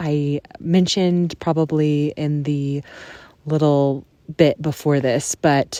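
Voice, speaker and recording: A soft-spoken woman with a very deep, low pitch, a dark, mellow tone and monotone, flat intonation. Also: dry, close sound with no echo. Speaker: podcast host. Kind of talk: casual podcast monologue. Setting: in a tent on a backpacking trip.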